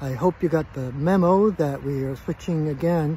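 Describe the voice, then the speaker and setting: Male voice with ordinary pitch variation, a dry sound with no echo and light background noise. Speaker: spiritual practitioner hosting a live stream. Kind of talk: casual live-stream welcome talk. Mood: warm, calm, relaxed. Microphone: phone near.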